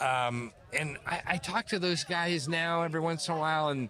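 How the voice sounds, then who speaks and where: A man with an American accent, a high pitch and a bright, sharp tone, speaking at a very slow pace. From US West Coast, Bay Area. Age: 60s. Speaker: retired pro BMX rider. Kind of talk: casual interview chat.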